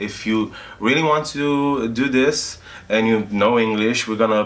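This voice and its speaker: Talking at a fairly slow pace with ordinary pitch variation, a man speaks with a non-native accent. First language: not English. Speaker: video game tester and trainer. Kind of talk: interview. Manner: halting, many fillers.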